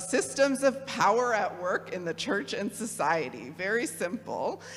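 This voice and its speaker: With a Midwestern accent, a woman talks at a very slow pace with lively intonation. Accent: Midwest. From US Midwest (Kalamazoo, Michigan). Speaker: theologian and program director. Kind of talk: talk to a parish audience. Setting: church hall with audience, no podium. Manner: casual, with many fillers.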